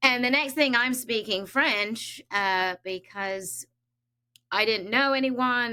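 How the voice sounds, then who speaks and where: A woman's bright, sharp tone with ordinary pitch variation, on a very clean recording with a silent background. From Switzerland. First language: Danish. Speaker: psychic medium. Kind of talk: casual interview.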